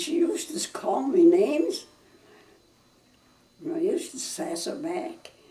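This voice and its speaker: Fairly slow pace, ordinary pitch variation, and noticeable background noise. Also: woman. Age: 90s. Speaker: family elder recalling childhood. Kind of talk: interview answer. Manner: slow, halting.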